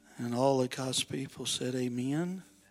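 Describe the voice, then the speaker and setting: Using an ordinary speaking voice, a man talks at a moderate pace and medium pitch. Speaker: pastor. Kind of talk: sermon. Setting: church.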